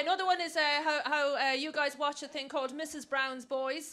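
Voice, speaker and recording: Over light background noise, a woman with an Irish accent uses a raised, projected voice at a high pitch and a very fast pace. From Ireland. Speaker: stand-up comedian. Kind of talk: stand-up comedy set. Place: stage. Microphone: handheld.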